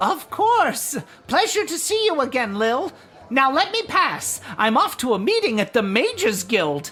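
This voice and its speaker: A put-on character voice, female-sounding and high-pitched for a woman, moves through very wide pitch swings at a moderate pace. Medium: video game. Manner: formal, courteous.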